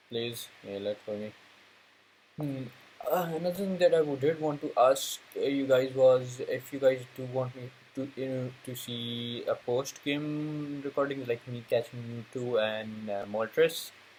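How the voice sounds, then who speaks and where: The speech moves at a fairly slow pace with ordinary pitch variation and big swings in loudness, over noticeable background noise. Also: man, medium pitch for a man. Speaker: gaming YouTuber. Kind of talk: let's play commentary. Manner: halting, many fillers; low energy.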